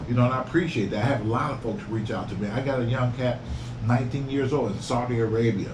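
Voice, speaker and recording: Talking at a very fast pace, a man with medium pitch keeps a fairly even intonation amid audible room echo and noticeable background noise. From Detroit, US Midwest. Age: 60s. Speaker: YouTuber and real estate investor. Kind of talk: casual interview chat.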